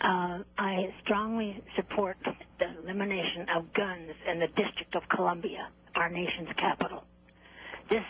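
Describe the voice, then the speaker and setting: A woman's medium-pitched, monotone voice with flat intonation over noticeable background noise. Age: 80s+. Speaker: caller. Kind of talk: call-in comment.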